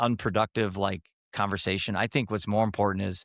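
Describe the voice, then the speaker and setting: This man has a normal speaking voice, fairly low in pitch, at a fairly quick pace. The sound is dry and close with no echo, in a very clean recording over a silent background. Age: 60s. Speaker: mental health app founder. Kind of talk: podcast interview.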